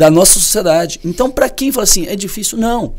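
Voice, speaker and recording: With a Goiás accent, a man speaks fairly quickly and with lively intonation. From Brazil, Goiás. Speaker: professor. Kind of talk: podcast discussion.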